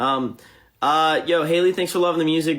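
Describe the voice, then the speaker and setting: A man rattles off his words at a very fast pace, captured on a very clean recording against a silent background. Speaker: musician livestreaming to fans. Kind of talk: live stream chat reading comments. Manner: halting.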